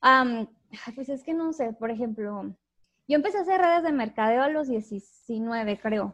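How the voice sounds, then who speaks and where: Over a quiet background, a woman with a Mexican accent and a high pitch speaks at a fairly slow pace with lively intonation and long, frequent pauses. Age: 20s. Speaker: youtuber and entrepreneur. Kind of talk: casual interview chat.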